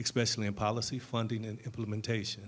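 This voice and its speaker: With an American accent, a man speaks at a moderate pace in a flat, monotone way. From Detroit. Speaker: panel moderator, community organizer. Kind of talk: moderated panel discussion. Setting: stage with audience, handheld mic. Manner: not loud.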